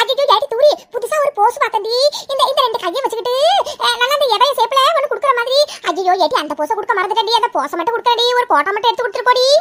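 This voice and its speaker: A woman's cartoonish character voice at an extremely high pitch and a fairly quick pace. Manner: boastful, self-admiring.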